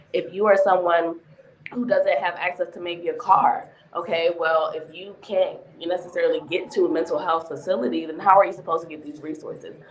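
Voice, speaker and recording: Against noticeable background noise, a woman with a fairly low voice talks at a fairly quick pace, with ordinary pitch variation and big swings in loudness. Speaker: mental health therapist. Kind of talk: panel discussion.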